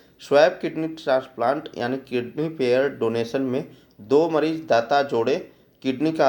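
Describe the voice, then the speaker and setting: Pitched fairly high, a man talks at a very slow pace with ordinary pitch variation. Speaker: current affairs teacher for exam aspirants. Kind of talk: exam-prep lecture explaining MCQs. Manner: some halting, self-correcting speech.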